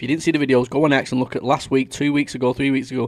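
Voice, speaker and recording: With a Mancunian accent, a man speaks at a medium pitch with fairly even intonation. The recording is very clean, with a silent background. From Manchester, northern England. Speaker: livestream watch-along host. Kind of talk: casual live commentary.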